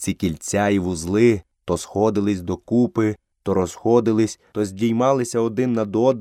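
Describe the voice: A quiet background behind plain reading aloud.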